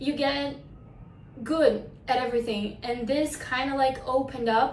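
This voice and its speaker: Audible room echo surrounds a woman whose high-pitched voice keeps a fairly even intonation. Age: 20s. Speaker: actress. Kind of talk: self-presentation.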